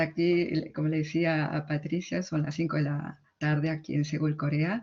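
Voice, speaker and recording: A woman with a strong Argentine accent. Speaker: literary translator. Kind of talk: conference talk. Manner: halting.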